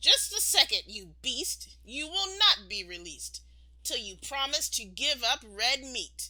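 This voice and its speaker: Using a put-on character voice, a woman speaks high and fairly slowly. Light noise runs in the background. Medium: read story.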